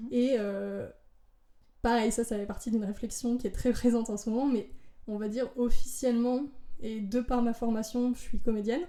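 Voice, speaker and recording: A woman with a fairly high pitch speaks in a dark, mellow tone. Her intonation is monotone and flat, broken by long, frequent pauses. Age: 20s. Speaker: drag artist and actress. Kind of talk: casual chat. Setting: at her home. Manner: fast; loud peaks.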